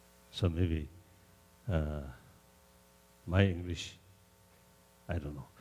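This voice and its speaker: The voice has a dark, mellow tone, is somewhat breathy, and moves at a fairly slow pace. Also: man. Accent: Tibetan. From Tibet. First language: Tibetan. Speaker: religious leader. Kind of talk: informal remarks to an audience.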